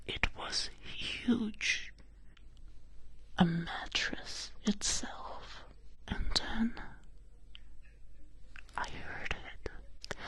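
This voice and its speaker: Someone whispers at a very slow pace with long, frequent pauses. Noticeable background noise can be heard. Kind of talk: ASMR bedtime story roleplay. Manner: soft-spoken, relaxing, whispery.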